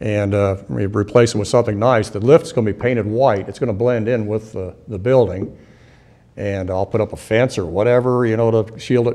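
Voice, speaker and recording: A man's fairly low voice, dark and mellow in tone, with fairly even intonation and a fairly quick pace. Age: 60s. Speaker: auto repair shop owner. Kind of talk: public hearing testimony. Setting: council meeting.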